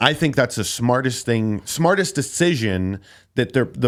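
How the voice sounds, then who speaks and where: A man with an unremarkable speaking voice talks at a moderate pace and medium pitch, with lively intonation, on a very clean recording with a silent background. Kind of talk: podcast conversation. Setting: studio. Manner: casual.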